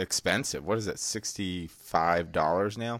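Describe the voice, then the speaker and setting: A man with an unremarkable speaking voice talks at a fairly slow pace in a fairly low pitch, with ordinary pitch variation, on a very clean recording with a silent background. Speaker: podcast host. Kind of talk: casual banter about MMA. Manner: joking, profane.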